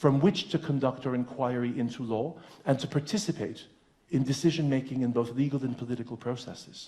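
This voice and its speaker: A man's medium-pitched, somewhat breathy voice, dark and mellow in tone, at a fairly quick pace. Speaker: law professor. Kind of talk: lecture. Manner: fast.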